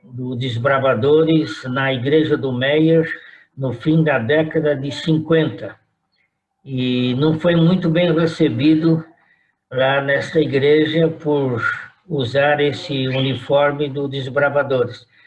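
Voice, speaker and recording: A fairly high-pitched man talks at a very slow pace with fairly even intonation, and room echo is audible. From Brazil, São Paulo. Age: 80s+. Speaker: retired pastor. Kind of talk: oral history interview.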